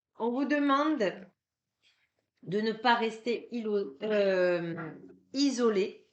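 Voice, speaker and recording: Speaking very slowly with long, frequent pauses, a woman uses a fairly high pitch and lively intonation. Room echo is audible. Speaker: card reader and energy healer. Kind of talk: tarot card reading. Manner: hesitant, many filler sounds.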